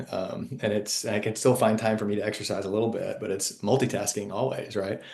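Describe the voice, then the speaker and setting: Talking fairly quickly, a man speaks with an American accent. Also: fairly low pitch for a man. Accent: Texan, comes out when talking about home. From Texas (Sherman, small town). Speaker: fintech company CEO. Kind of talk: podcast interview. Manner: enthusiastic, animated.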